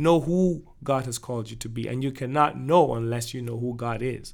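Ordinary pitch variation and a moderate pace from a man with an unremarkable speaking voice. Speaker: worship leader and music producer. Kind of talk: casual podcast interview.

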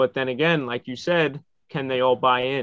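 This man has a medium pitch. He speaks with an American accent. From New York. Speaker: sports journalist. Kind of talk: casual chat.

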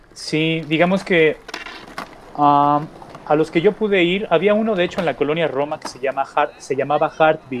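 With noticeable background noise behind him, a man speaks at a moderate pace with ordinary pitch variation. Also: fairly high pitch for a man. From Mexico City. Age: 40s. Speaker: magazine founder and entrepreneur. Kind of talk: interview.

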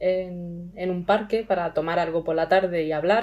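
A woman has an unremarkable speaking voice with fairly even intonation. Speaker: language learner. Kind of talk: interview.

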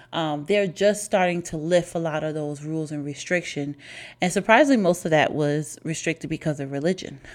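On a very clean recording with a silent background, a woman with a very deep, low voice talks at a fairly quick pace in an animated tone with ordinary pitch variation. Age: 30s. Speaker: podcast host. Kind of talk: casual solo monologue.

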